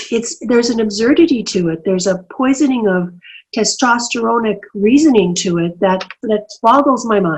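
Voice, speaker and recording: With a Canadian accent, a woman talks at a moderate pace in a fairly high, somewhat breathy voice with lively intonation. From Canadian prairies. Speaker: senator and human rights lawyer. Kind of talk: interview answer.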